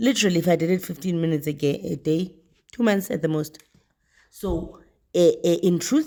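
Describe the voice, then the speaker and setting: A woman speaks at a fairly low pitch in a dark, mellow tone. Her pace is fairly quick, broken by long, frequent pauses. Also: ordinary pitch variation. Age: 40s. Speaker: homeschooling mother. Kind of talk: casual chat.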